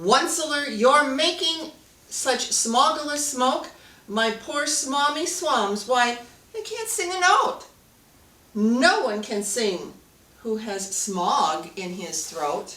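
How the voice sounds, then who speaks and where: In a put-on character voice, a woman speaks very slowly, high-pitched and croaky, with very wide pitch swings. An echo is audible. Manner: querulous.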